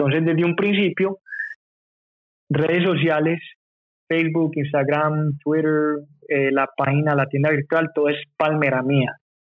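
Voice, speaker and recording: The speaker talks at a fairly slow pace with long, frequent pauses. Intonation is monotone and flat, and loudness stays very even. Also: man, fairly high pitch for a man. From Medellín, Colombia, then USA from age 9. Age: 30s. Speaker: clothing brand co-founder. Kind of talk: casual interview chat.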